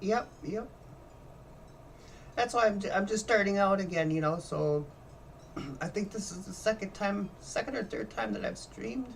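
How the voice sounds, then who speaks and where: The voice carries ordinary pitch variation. Vocal fry runs through it. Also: woman, medium pitch for a woman, moderate pace. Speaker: sim racing streamer. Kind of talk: live gameplay commentary. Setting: live stream at home. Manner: halting.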